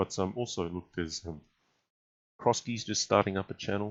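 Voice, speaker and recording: Speaking with an Australian accent, a man uses a very deep, low pitch and fairly even intonation at a moderate pace. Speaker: chess streamer and commentator. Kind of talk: live game commentary and chat Q&A. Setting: live stream. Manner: casual, many filler words.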